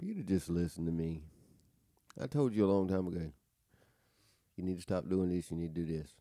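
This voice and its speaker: A man with a Southern US accent, very deep and low in pitch with a dark, mellow tone, talking at a very fast pace broken by long, frequent pauses, his pitch varying in an ordinary way. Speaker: podcast co-host. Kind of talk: casual chat.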